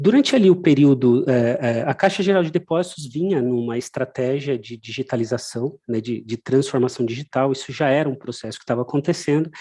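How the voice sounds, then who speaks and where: With a dark, mellow tone and medium pitch, a man speaks at a fairly quick pace. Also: ordinary pitch variation. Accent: Brazilian. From Brazil. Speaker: technology company presenter. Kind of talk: webinar presentation. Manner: many hesitations and fillers.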